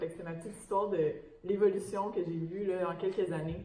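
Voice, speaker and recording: A woman speaks very fast in a Quebec accent at a medium pitch. Noticeable background noise and audible room echo fill the recording. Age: young. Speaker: ocean researcher, academic. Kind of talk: panel discussion. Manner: hesitant, many fillers.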